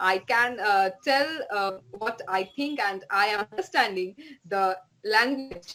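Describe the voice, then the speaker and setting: This speaker has a bright, sharp tone and a Bengali accent, moving at a fairly slow pace with ordinary pitch variation. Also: woman. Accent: Indian English, Bengali. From West Bengal, India. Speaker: writer. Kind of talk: interview. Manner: halting.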